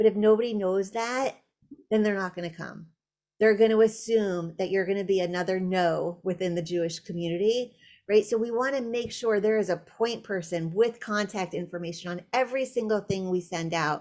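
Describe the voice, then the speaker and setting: A woman talks in a normal speaking voice at a moderate pace. Her pitch is medium, with ordinary variation. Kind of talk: webinar presentation.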